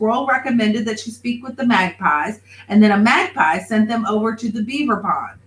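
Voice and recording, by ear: Intonation here is fairly even. The text is read aloud in a natural voice.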